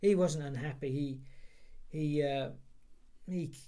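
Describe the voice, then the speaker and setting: The voice has a dark, mellow tone and a fairly slow pace. There is audible room echo. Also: man. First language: Polish. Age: 60s. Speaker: interviewee for heritage project. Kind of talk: oral history interview. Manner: halting, many repeated words.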